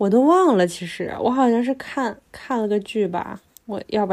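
Dark, mellow tone from a woman, her pitch varying an ordinary amount. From Northeast China (Harbin). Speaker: podcast co-host. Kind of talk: casual chat. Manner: animated.

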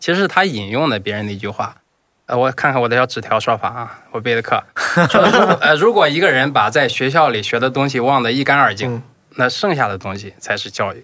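This man speaks very fast, with lively intonation and a bright, sharp tone. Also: medium pitch for a man. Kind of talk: casual chat.

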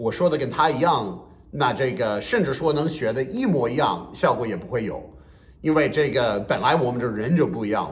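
A man's medium-pitched voice at a fairly quick pace, with lively intonation and audible room echo. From US Northeast. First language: English (speaking Chinese). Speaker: bilingual comedian. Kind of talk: podcast interview.

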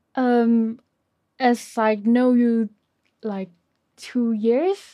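A woman with a Chinese accent speaks very slowly with long, frequent pauses and big swings in loudness. Her voice has a dark, mellow tone, a fairly high pitch, and ordinary pitch variation. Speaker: podcast co-host. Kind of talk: casual chat. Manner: hesitant.

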